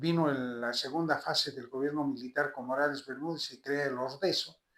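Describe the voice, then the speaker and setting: Fairly high-pitched male voice with a bright, sharp tone, fairly even intonation and a moderate pace. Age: 70s. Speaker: politician, senate candidate. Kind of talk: interview. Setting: at home.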